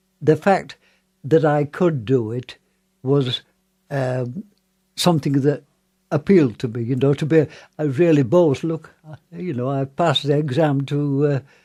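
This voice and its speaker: A man speaks in a Yorkshire accent with a dark, mellow tone. His pitch varies in an ordinary way, and he leaves long, frequent pauses. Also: fairly high pitch for a man, fairly slow pace. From northern England, Wakefield. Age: 90s. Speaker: war veteran. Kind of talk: interview. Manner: halting.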